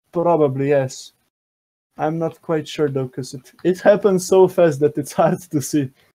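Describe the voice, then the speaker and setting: This man has a fairly high pitch, a dark, mellow tone, fairly even intonation and a non-native accent. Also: moderate pace. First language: not English. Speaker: contest judge. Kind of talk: live commentary.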